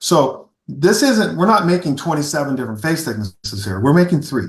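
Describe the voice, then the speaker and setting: His tone is animated, with very wide pitch swings and vocal fry. The man keeps a moderate pace. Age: 60s. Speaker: golf equipment company founder, former long drive competitor. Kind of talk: podcast interview.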